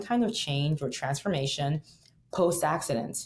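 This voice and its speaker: A woman's very deep, low, somewhat breathy voice with a Nigerian accent and ordinary pitch variation. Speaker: singer and plane crash survivor. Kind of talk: interview conversation.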